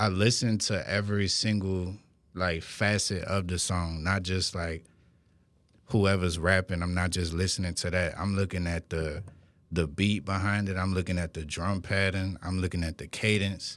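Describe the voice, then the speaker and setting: Recorded very cleanly against a silent background, a man with a New Orleans accent talks at a moderate pace in a very deep, low voice with monotone, flat intonation. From New Orleans, Westbank. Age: 20s. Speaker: rapper. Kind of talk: interview. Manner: casual.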